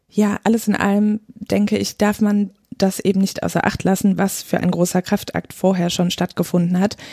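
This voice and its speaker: Dry and close with no echo on a very clean recording with a silent background, the voice is dark, mellow and somewhat breathy, with flat, monotone intonation, very even loudness, a moderate pace and hardly any pauses. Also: woman, medium pitch for a woman. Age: 30s. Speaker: midwife. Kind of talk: podcast interview.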